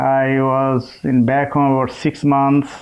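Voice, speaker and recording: A man with a Bangladeshi accent. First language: Bengali. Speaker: chemist. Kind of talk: interview. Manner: halting.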